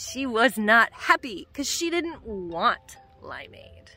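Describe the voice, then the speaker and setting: A woman's raised, projected voice at a very slow pace, dry with no echo, over faint background music. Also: big swings in loudness. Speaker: travel vlogger mom. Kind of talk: casual vlog chat. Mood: cheerful, storytelling. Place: beach. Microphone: phone near.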